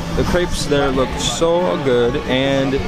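Loud music plays in the background behind a man whose voice sounds dry with no echo. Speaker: travel vlogger. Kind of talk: casual vlog chat. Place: street. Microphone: phone near.

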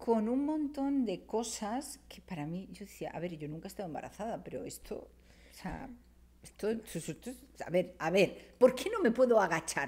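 A woman with a dark, mellow tone talks at a fairly slow pace, her pitch making very wide swings. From Spain. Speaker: writer and cultural manager; podcast guest. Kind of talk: casual chat. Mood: lively, humorous storytelling. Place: studio. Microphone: studio mic.

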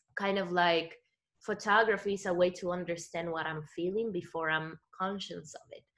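Against a quiet background, the voice comes through with a bright, sharp tone. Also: woman. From Dominican Republic. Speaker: photographer. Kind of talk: panel discussion. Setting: video call. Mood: reflective, soft, personal. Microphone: video call.

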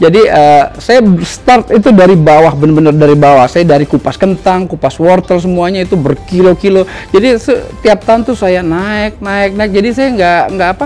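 A high-pitched man at a moderate pace, with ordinary pitch variation and faint music in the background. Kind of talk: interview answer. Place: cafe.

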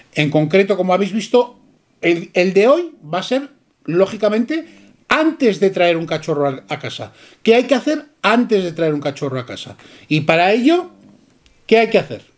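Against a quiet background, a man with a high pitch and very wide pitch swings speaks at a moderate pace, leaving long, frequent pauses. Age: 50s. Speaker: dog breeder. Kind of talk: casual chat. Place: shop. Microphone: camera far.

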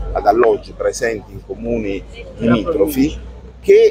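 A man's voice in dry sound with no echo, over noticeable background noise. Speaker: city councillor. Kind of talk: interview answer. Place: street. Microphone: phone near.

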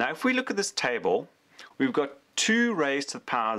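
The man's voice has a bright, sharp tone, heard against a quiet background. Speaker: electronics YouTuber and tutor. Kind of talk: tutorial. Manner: casual, conversational with fillers. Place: workshop.

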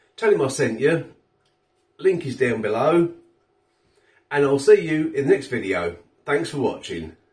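Against a quiet background, a man speaks at a moderate pace with vocal fry. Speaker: food vlogger. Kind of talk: casual vlog chat. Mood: cheerful, friendly. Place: kitchen. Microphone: phone near.

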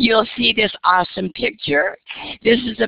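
Vocal fry runs through this enthusiastic-sounding voice, which moves at a moderate pace. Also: woman. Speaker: educator presenting on professional development. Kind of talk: conference webinar presentation. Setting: video call.

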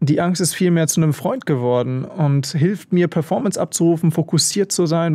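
A man's voice, dark and mellow in tone, with ordinary pitch variation. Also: quiet background. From Germany, Bielefeld (northern Germany); Germany. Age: 20s. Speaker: extreme mountaineer; interview guest. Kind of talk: radio interview. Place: studio. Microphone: studio mic.

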